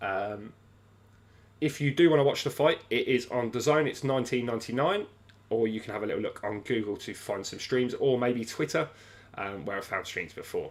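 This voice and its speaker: In a British accent, a man speaks at medium pitch and a fairly quick pace with ordinary pitch variation. The recording is very clean and the background silent. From England. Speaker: sports livestream host. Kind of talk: livestream fight companion chat. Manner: hesitant, many fillers.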